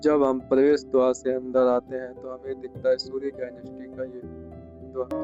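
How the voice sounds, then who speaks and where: Music plays in the background while a man speaks at a medium pitch with monotone, flat intonation. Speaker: travel vlogger and storyteller. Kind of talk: travel documentary narration to camera.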